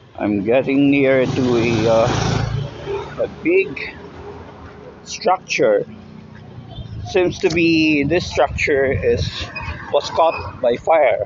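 The speech moves at a very slow pace with long, frequent pauses. Background noise is noticeable. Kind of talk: casual walking commentary. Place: street. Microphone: phone near.

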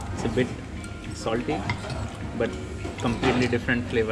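A man talks over loud music in the background. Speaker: food vlogger. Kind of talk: casual vlog chat. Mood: relaxed, pleased. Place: cafe. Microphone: phone near.

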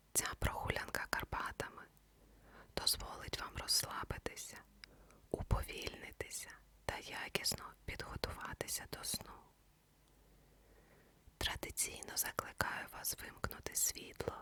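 Whispering, a woman speaks with long, frequent pauses. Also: fairly slow pace. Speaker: ASMR sleep story narrator. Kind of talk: ASMR sleep introduction. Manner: whispered.

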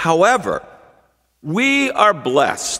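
The background stays quiet. A man's voice carries a bright, sharp tone. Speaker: pastor. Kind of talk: sermon. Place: church. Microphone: podium.

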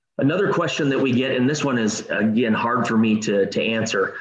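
Someone with an American accent speaks at a moderate pace. There is audible room echo and light background noise. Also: man. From Minnesota, US Midwest. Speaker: travel company host. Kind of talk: informational presentation; webinar presentation. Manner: hesitant, frequent fillers and repeats. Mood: enthusiastic, friendly. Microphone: video call.

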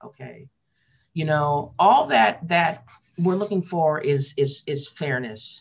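A woman with an American accent speaks very slowly in a very deep, low voice that is somewhat breathy, with ordinary pitch variation and big swings in loudness. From US West Coast, Portland, Oregon. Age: 60s. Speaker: labor radio host and union organizer; labor radio host. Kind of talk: interview. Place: home room. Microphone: webcam.

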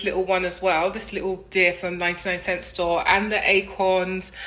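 The speech is fairly slow and delivered with monotone, flat intonation. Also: woman. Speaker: home decor vlogger. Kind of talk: casual vlog chat. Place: home room. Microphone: phone near.

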